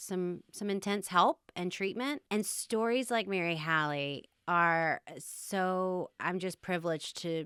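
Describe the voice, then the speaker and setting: A woman speaks loudly at a fairly slow pace, her medium pitch moving with ordinary variation and her tone bright and sharp. The very clean recording has a silent background and a dry, close sound with no echo. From Louisiana, Baton Rouge. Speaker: eating disorder advocate. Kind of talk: interview.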